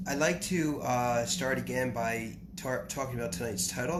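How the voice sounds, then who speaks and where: Noticeable background noise and audible room echo accompany a man talking at a medium pitch and moderate pace with ordinary pitch variation. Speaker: spiritual teacher. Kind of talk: lecture. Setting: live stream. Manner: halting.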